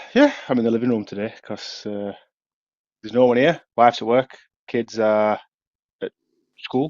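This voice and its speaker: A man with a Yorkshire accent, medium in pitch, with fairly even intonation at a moderate pace, big swings in loudness and long, frequent pauses. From Yorkshire, England. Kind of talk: casual podcast chat.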